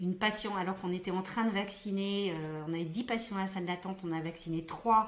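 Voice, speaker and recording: A woman's medium-pitched voice stays monotone and flat, with noticeable background noise around her. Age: young. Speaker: doctor. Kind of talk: interview answer.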